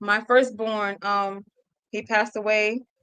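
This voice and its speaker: This woman's pitch is fairly high, and her intonation stays monotone and flat. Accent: Mississippi. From Mississippi. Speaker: nonprofit founder. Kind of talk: personal testimony in interview. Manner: halting, emotional.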